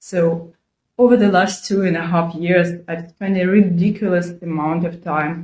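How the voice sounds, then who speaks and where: Speaking with a non-native accent, a woman has a medium pitch, a dark, mellow tone, a somewhat breathy quality, fairly even intonation and a fairly slow pace. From Ukraine. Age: 40s. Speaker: video blogger. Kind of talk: personal vlog monologue. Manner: earnest, conversational.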